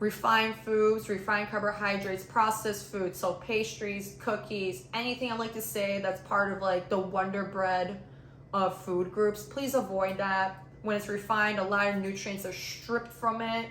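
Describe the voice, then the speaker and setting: In a room with audible echo, a woman talks at a medium pitch. Her pace is moderate and her intonation fairly even. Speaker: fitness YouTuber, personal trainer. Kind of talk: vlog-style health explainer. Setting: home apartment, on camera.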